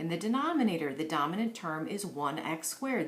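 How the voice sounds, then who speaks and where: A woman talks with very wide pitch swings. Audible room echo and noticeable background noise fill the recording. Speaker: math teacher. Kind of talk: tutorial. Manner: animated.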